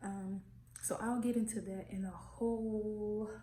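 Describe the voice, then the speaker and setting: The speaker is soft-spoken and somewhat breathy, with monotone, flat intonation. The pace is very slow, and the room echo is audible. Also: woman. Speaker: vlogger. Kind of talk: casual vlog. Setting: new apartment.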